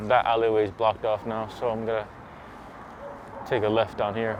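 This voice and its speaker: A man mumbles at a very fast pace, his pitch medium. Noticeable background noise is present. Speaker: e-bike vlogger. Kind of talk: casual ride vlog commentary. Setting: outdoors riding e-bike at night. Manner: mumbling. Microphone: muffled by gaiter mask.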